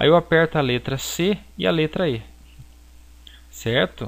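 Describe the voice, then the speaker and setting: Fairly slow speech from a man, ordinary in its pitch variation. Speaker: graphic design teacher. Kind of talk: software tutorial. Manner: halting.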